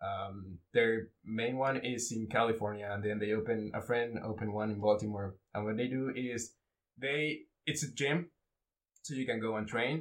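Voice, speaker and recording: Speaking with a Spanish accent, a man uses a medium pitch and ordinary pitch variation at a moderate pace. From Mexico. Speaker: Brazilian jiu-jitsu blue belt. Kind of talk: casual chat.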